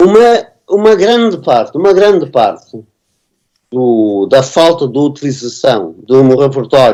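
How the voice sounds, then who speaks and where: A man with a European Portuguese accent has a dark, mellow tone at a fairly high pitch. He speaks at a fairly slow pace, his pitch swinging very widely. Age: 70s. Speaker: composer and music teacher. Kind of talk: conference panel discussion. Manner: halting, many repetitions and fillers.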